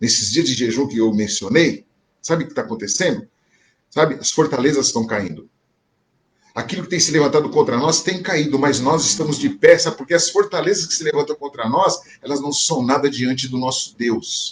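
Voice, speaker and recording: A man's voice is somewhat breathy. He talks fairly quickly, his intonation lively. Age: 60s. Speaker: pastor. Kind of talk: sermon. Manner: conversational, repetitive filler.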